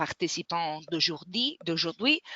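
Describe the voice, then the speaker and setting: Here a woman speaks with a non-native accent. Her pitch is medium. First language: not French (speaking French). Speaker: webinar moderator. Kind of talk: webinar closing remarks. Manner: halting, many hesitations.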